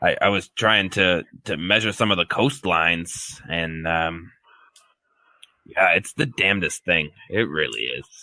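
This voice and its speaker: A man does a put-on character voice that is raspy and very deep, low in pitch. He keeps a moderate pace. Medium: actual play. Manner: rambling, hesitant, full of fillers.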